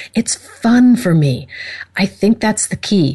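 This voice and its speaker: A woman speaks at a fairly slow pace with lively intonation. Her voice is somewhat breathy, with a warm, enthusiastic tone. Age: 50s. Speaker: talk radio host and esthetician. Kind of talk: internet talk radio show, casual chat.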